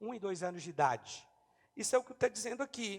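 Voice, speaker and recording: A man's lively intonation at a moderate pace. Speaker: pastor. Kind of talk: sermon.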